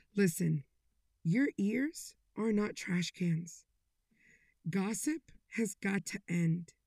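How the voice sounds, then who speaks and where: With a dark, mellow, somewhat breathy tone, a woman at medium pitch uses lively intonation while speaking at a very slow pace with long, frequent pauses. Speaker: podcast host. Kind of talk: inspirational monologue. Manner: animated.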